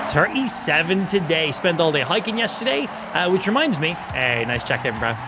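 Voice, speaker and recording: A man's high-pitched, animated voice at a fairly quick pace, with very wide pitch swings, audible room echo and noticeable background noise. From Ireland. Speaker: gaming streamer. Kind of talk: live gaming stream commentary with chat.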